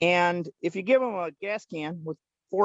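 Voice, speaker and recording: Loud and high in pitch, a man speaks with ordinary pitch variation. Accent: American. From Pennsylvania, Lancaster County. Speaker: farmer with traveling animals. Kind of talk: casual interview.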